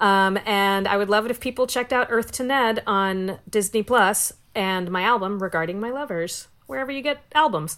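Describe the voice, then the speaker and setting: An unremarkable speaking voice from a woman, at a fairly quick pace with ordinary pitch variation. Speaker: comedian and writer. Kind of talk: casual chat. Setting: video call from home.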